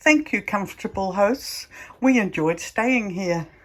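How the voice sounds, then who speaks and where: Amid noticeable background noise, a woman with a medium pitch speaks with lively intonation. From Netherlands and New Zealand. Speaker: travel vlogger. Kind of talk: casual travel vlog narration.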